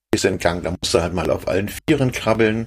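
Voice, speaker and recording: This is an unremarkable speaking voice from a man. He moves at a fairly quick pace with lively intonation. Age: 50s. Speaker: caver. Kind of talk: casual chat.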